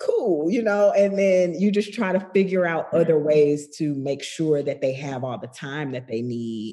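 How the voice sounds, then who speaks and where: This woman's voice sits very deep and low, with very wide pitch swings. She speaks at a moderate pace. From US South, Macon, Georgia. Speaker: television director. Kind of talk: casual interview conversation.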